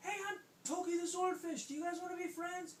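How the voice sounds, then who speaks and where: A man's squeaky, put-on character voice at an extremely high pitch, fairly quick, with clear background noise. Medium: read story. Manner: friendly, eager.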